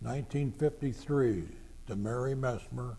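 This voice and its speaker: A man with an American accent talks at a very slow pace and medium pitch. The room echo is audible. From Greater Cincinnati (northern Kentucky/southwest Ohio). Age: 80s+. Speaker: war veteran. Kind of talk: oral history interview.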